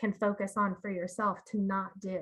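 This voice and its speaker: A woman speaks at a medium pitch. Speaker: marketing communications director. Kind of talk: seminar presentation. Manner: soft-spoken.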